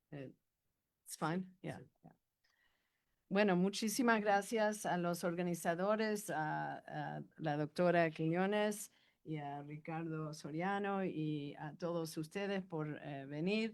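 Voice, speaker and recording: A woman's fairly low voice with a slight non-native accent, very slow pace and big swings in loudness, on a very clean recording with a silent background. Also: ordinary pitch variation. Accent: slightly non-native Spanish. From Argentina, left young for the US. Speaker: law professor. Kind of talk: academic talk. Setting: university panel with audience. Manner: halting, many fillers.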